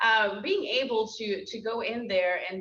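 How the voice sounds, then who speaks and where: A woman's fairly high-pitched voice, with noticeable background noise. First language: Spanish. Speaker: program director and school board member. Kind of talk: interview at a lunch talk.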